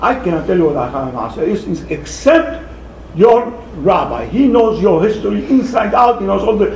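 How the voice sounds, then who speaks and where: Over noticeable background noise and audible room echo, a man speaks at a moderate pace in a high voice with very wide pitch swings. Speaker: rabbi and scholar. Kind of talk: lecture with Q&A. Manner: halting.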